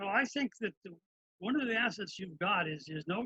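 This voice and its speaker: A man with an American accent projects a raised voice at a moderate pace, high-pitched for a man and bright and sharp in tone. The sound is dry and close, with no echo. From Brooklyn, New York. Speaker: talk show host. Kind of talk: interview.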